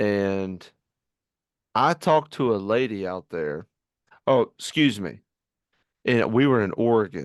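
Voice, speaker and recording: Over a quiet background, a man speaks at a fairly low pitch and fairly slow pace with lively intonation and long, frequent pauses, the sound dry and close with no echo. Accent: Virginia. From Virginia. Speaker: podcast host. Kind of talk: casual podcast conversation. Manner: halting, many fillers.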